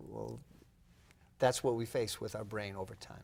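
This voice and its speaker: A man with an unremarkable speaking voice speaks at a fairly quick pace with ordinary pitch variation. The recording is very clean, with a silent background. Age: 60s. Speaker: professor of neuroscience. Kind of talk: TV health interview.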